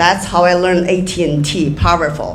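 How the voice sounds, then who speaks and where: A woman talks at a fairly slow pace with a Chinese accent. The room echo is audible and background noise is noticeable. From Inner Mongolia, China. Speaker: real estate developer. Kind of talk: panel talk. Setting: stage with audience. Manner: halting.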